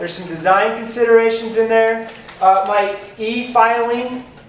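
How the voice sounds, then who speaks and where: The speaker's tone is animated. Noticeable background noise can be heard. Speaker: software trainer. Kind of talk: lecture. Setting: conference classroom with audience.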